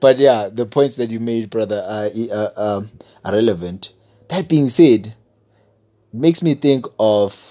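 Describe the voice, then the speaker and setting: A man's dark, mellow voice at medium pitch, fairly slow pace with long, frequent pauses and ordinary pitch variation. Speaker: podcast host. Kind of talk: casual chat.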